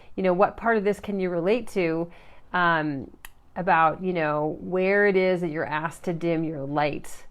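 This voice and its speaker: At a moderate pace, a woman speaks in a fairly low voice with ordinary pitch variation. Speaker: life coach / motivational live streamer. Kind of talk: live stream talk to viewers. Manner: quiet, not naturally loud; halting, many fillers.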